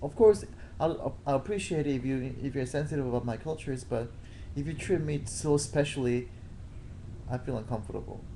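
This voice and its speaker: With a slight non-native accent, a man talks at a fairly quick pace in a medium-pitched voice with a dark, mellow tone and vocal fry, and audible room echo surrounds him. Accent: slight foreign. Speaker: boyfriend. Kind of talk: casual chat. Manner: halting.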